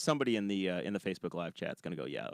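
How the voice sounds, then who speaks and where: A man with an American accent talks at a very fast pace with vocal fry, recorded with a dry, close sound and no echo. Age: 30s. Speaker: podcast host. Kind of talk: casual chat. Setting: studio.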